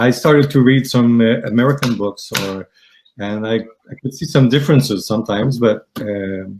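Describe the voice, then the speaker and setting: The speaker has a Quebec accent and fairly even intonation. Music plays in the background. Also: man. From Quebec, Canada. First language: French. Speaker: aromatherapy student. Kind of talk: interview. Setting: live stream. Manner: halting, many fillers.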